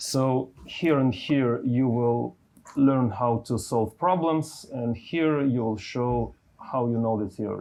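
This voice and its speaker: Speaking very slowly with a non-native accent, a man uses a medium pitch and ordinary pitch variation. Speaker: university lecturer. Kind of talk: lecture. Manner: halting, with fillers.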